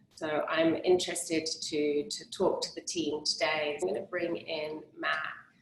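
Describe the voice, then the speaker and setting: A woman with an English accent talks at a moderate pace in a fairly low voice. Noticeable noise sits in the background. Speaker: interviewer, cleanse program host. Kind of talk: online interview.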